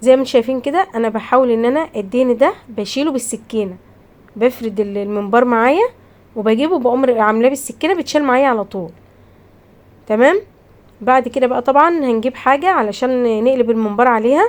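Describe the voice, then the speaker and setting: In an Egyptian accent, a woman speaks at a moderate pace with a high-pitched voice and an animated tone. Her pitch varies in an ordinary way. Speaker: cooking channel host. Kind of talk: cooking tutorial.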